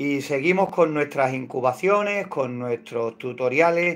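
The pace is very slow. A man speaks with ordinary pitch variation. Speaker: hobby poultry incubation channel host. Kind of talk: casual livestream tutorial chat. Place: home room. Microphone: phone near.

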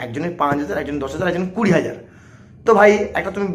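Ordinary pitch variation runs through a man's high-pitched speech. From West Bengal, Digha area near Odisha; West Bengal. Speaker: movie reviewer YouTuber. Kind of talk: vlog rant to camera. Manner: animated, emphatic. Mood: defensive, argumentative. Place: home room. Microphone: lapel.

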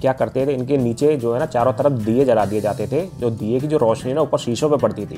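A man speaks at a moderate pace with fairly even intonation, faint music playing in the background. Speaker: travel vlogger acting as guide. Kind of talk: tour guide commentary. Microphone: phone near.

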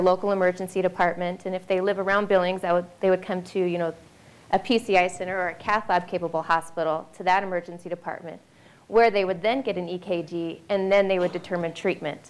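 A woman's fairly quick, flat, monotone delivery. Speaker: heart health program director; presenter. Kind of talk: informational presentation. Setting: stage with audience. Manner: light-hearted. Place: hall. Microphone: handheld.

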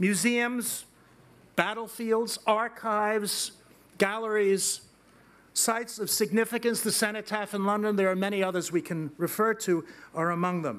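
Speaking at a moderate pace, a man with a high pitch keeps his intonation fairly even. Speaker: invited lecturer. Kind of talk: lecture. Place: hall. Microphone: podium.

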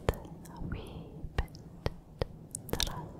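A soft-spoken woman whispers at a very slow pace. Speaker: ASMR creator. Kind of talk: soft ASMR whisper talk. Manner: soft close-mic ASMR whisper. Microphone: studio mic.

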